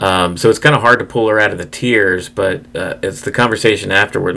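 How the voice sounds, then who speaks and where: A man with a fairly low pitch speaks at a fairly quick pace while noticeable background noise is heard. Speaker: podcast co-host. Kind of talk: casual chat.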